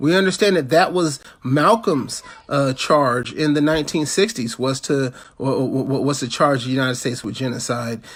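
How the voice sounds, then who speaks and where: Speaking at a moderate pace, a man with a fairly high voice shows ordinary pitch variation. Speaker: activist campaign chair. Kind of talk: political talk. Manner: halting, many repetitions.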